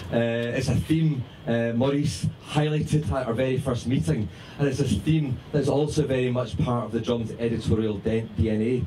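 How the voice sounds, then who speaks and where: A man with a Scottish accent speaks at a moderate pace and medium pitch, with ordinary pitch variation. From Scotland. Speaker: magazine founder and editor. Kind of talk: speech to party audience. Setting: party with audience.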